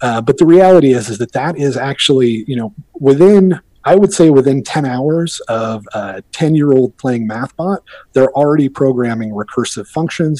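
The man's tone is dark and mellow, with lively intonation. The sound is dry and close, with no echo. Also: medium pitch for a man, moderate pace. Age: 40s. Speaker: bitcoin commentator. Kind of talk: casual chat.

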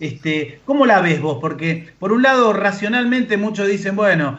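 At a moderate pace, a man speaks amid noticeable background noise and audible room echo. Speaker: social worker, co-host. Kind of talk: radio interview.

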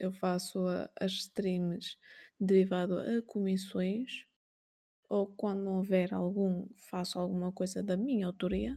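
A woman speaks at a very slow pace with medium pitch and fairly even intonation. Her tone is dark and mellow, and somewhat breathy. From Portugal. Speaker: painter and art streamer, stained-glass artisan. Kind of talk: interview. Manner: halting.

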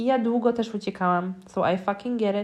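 A woman at medium pitch speaks in a plain, everyday voice. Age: 20s. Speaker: spiritual mentor and coach, podcast host. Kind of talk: solo podcast monologue.

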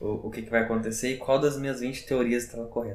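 The speaker is a man with a medium pitch. Audible room echo mixes with noticeable background noise. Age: 20s. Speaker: psychologist. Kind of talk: casual chat.

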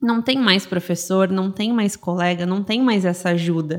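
A woman speaks at a medium pitch and a fairly slow pace. Her pitch varies in an ordinary way, in an ordinary speaking voice. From southern Brazil, Rio Grande do Sul (São Leopoldo). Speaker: dentist and business mentor. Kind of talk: casual interview chat.

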